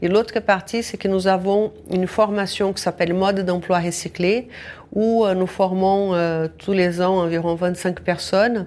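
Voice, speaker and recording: A woman talks with a Brazilian accent. Her intonation is monotone and flat. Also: medium pitch for a woman, fairly slow pace. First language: Portuguese (speaking French). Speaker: social enterprise founder. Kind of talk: radio interview. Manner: halting.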